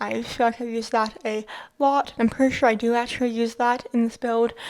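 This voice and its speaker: The speaker is a woman with a fairly high pitch. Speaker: video game builder YouTuber. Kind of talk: gameplay voiceover narration. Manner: halting, stumbles over words; casual.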